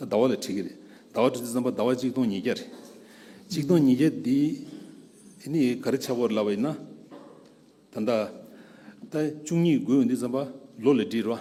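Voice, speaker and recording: A man at a medium pitch with a dark, mellow tone, ordinary pitch variation, a fairly quick pace broken by long, frequent pauses, and audible room echo. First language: Dzongkha or Tibetan. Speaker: scholar speaker at a conference. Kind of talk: lecture.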